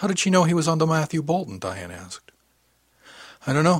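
Delivered very fast, the speech carries a somewhat breathy quality. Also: man. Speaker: audiobook narrator. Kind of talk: sci-fi audiobook narration, first-person read with character dialogue. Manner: measured, even storyteller pacing with light character voices and dry humor.

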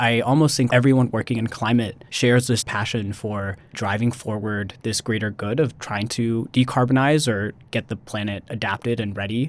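Speaking in a normal speaking voice, a man keeps a medium pitch, fairly even intonation, and a moderate pace. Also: hardly any pauses. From US Midwest, Missouri. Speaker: MBA student. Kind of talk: interview.

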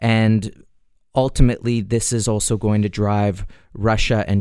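An unremarkable speaking voice from a man, fairly low in pitch. He talks at a moderate pace. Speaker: precious metals dealer. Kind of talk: radio talk show market commentary. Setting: studio.

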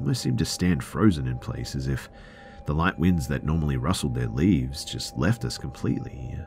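Music plays behind a man with an Australian accent and a very deep, low voice. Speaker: podcast narrator. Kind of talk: horror narration; reading listener story aloud.

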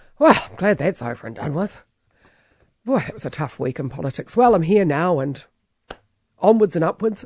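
Lively intonation at a moderate pace, with a New Zealand accent. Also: woman. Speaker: talk radio host. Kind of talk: radio commentary.

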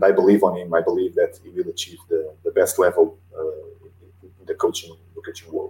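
The speaker has a Portuguese accent and a moderate pace. There are big swings in loudness. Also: man. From Portugal. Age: 40s. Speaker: football coach. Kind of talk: interview. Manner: halting.

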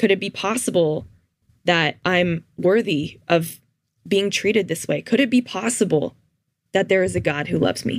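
A woman with a Canadian accent, a medium pitch, ordinary pitch variation, a moderate pace, and a plain, everyday voice. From Canada, Toronto suburbs. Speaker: former student, counseling student. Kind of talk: testimony.

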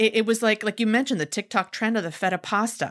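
With a normal speaking voice, a woman talks at a fairly quick pace and a fairly high pitch with ordinary pitch variation, the sound dry and close with no echo. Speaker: podcast host and chef. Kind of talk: casual conversational chat, podcast episode.

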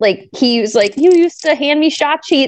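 A woman with an American accent has an ordinary speaking voice. She talks at a moderate pace. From Minnesota. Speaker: sports broadcaster. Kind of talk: interview.

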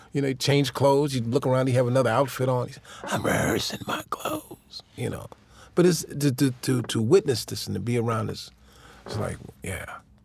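A man talks at a fairly quick pace in an American accent. He has an ordinary speaking voice, medium pitch and ordinary pitch variation. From Chicago, Illinois. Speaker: drummer and music producer. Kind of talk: interview. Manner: casual, laughs often.

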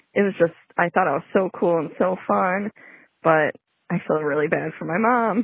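Using a normal speaking voice with an American accent, a woman talks at a moderate pace with a fairly low pitch and ordinary pitch variation. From Chicago. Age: 30s. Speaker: listener caller. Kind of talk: recorded voicemail story.

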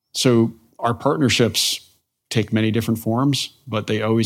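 Recorded very cleanly against a silent background, a man with an American accent and a plain, everyday voice speaks at a moderate pace with fairly even intonation. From New Jersey (northwest). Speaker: university president, intelligence educator. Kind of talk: interview.

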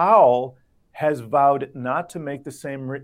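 In an American accent and a normal speaking voice, the speaker goes at a fairly slow pace against a quiet background. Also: man. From US, Miami. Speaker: financial markets reporter. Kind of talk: interview.

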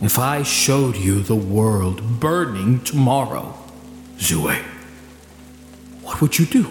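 Putting on a character voice at a medium pitch, a man talks at a fairly slow pace with lively intonation and long, frequent pauses, amid slight echo and clear background noise.

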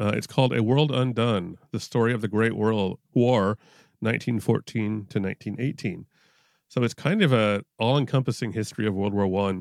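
A man talks with ordinary pitch variation in an ordinary speaking voice. The recording is very clean, with a silent background. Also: medium pitch for a man, moderate pace, dry, close sound with no echo. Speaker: podcast panelist. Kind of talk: casual interview chat.

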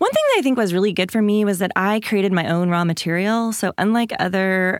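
A normal speaking voice comes through at a fairly quick pace with ordinary pitch variation, on a very clean recording with a silent background. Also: woman. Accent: American. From Washington State, small rural town. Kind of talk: interview.

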